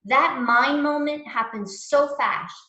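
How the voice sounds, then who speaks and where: Raising and projecting her voice, a woman speaks at a very slow pace with ordinary pitch variation and audible room echo. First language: not English. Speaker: mindfulness teacher. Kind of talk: lecture. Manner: casual, halting with fillers.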